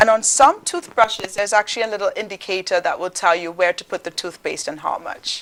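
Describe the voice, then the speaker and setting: Speaking very fast with hardly any pauses, a woman with a Caribbean accent uses a medium pitch and ordinary pitch variation, her loudness swinging widely over noticeable background noise. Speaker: dentist, dental school teacher. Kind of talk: educational demonstration on a talk show.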